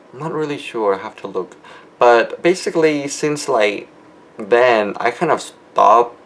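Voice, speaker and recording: A man speaks at a fairly slow pace in a medium pitch with lively intonation, over noticeable background noise. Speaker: video blogger. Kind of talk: video diary monologue. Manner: mumbling; hesitant, many fillers.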